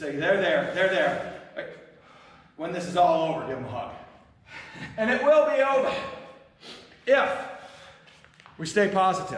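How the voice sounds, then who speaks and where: A man shouts at a high pitch in an energetic tone, with very wide pitch swings and big swings in loudness. Long, frequent pauses break it up, amid audible room echo and noticeable background noise. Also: moderate pace. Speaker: fitness instructor. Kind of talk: workout class instruction. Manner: loud, yelling.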